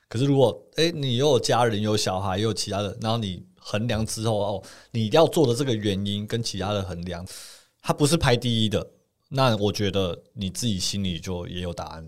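A man with a normal speaking voice, fairly low in pitch, lively intonation and a moderate pace, on a very clean recording with a silent background. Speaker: podcast co-host, former engineer. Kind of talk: casual chat.

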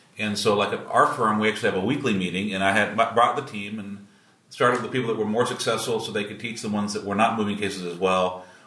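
Delivered at a very fast pace with fairly even intonation, the speech carries audible room echo and noticeable background noise. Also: man, fairly low pitch for a man. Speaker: trial lawyer podcast host. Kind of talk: casual chat. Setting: room at a conference.

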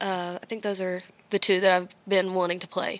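The speaker is soft-spoken, with a Southern US accent and monotone, flat intonation at a moderate pace. The recording is very clean, with a silent background. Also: woman. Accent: Southern US, country. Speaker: singer-songwriter. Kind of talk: casual interview chat. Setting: studio. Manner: quiet, soft-spoken.

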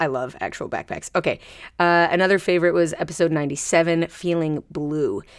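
In a very clean recording with a silent background, a woman speaks in an animated tone at a fairly low pitch. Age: 50s. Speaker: podcast host and choreographer. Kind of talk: casual solo podcast monologue. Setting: recording booth.

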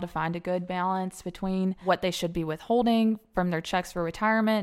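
On a very clean recording with a silent background, a woman speaks in a Southern US accent at a medium pitch. Her intonation is monotone and flat, and her pace is fairly quick. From Alabama. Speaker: accountant. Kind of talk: interview.

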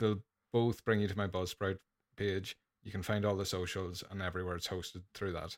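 With an Irish accent, a man speaks in a fairly low, monotone, flat voice, the sound dry and close with no echo on a very clean recording with a silent background. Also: fairly quick pace. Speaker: podcaster. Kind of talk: casual chat.

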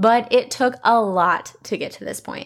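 A woman's fairly high voice at a fairly slow pace, ordinary pitch variation, very clean recording with a silent background

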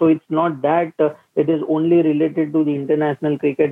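A man with an Indian accent, fairly quick and monotone, with flat intonation. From India, Mumbai. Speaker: cricket pundit. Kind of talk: casual chat.

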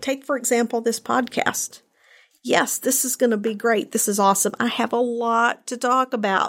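A woman talks at a fairly high pitch in an ordinary speaking voice. Her pace is moderate and her intonation fairly even. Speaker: podcast host. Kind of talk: solo podcast monologue, unscripted.

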